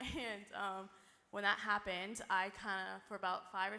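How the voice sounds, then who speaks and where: A woman speaks at medium pitch and a moderate pace. Her voice carries vocal fry. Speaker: church member sharing testimony. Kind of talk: testimony. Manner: halting, many fillers.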